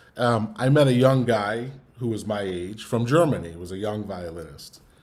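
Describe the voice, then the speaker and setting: Audible room echo surrounds the voice. A man speaks at a fairly low pitch with ordinary pitch variation. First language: Yiddish. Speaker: musician. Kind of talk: online talk, personal story. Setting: online event. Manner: halting, many fillers and repeats.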